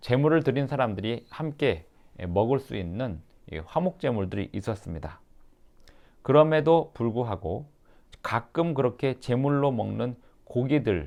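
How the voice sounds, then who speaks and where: A man's fairly slow delivery, with long, frequent pauses and very wide pitch swings. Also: medium pitch for a man. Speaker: pastor. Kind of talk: sermon-style explanation of the passage.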